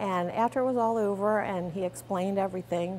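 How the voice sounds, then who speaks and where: A woman speaks with medium pitch and fairly even intonation. Her pace is moderate. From Pennsylvania. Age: 50s. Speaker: cancer survivor. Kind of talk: testimony. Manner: halting.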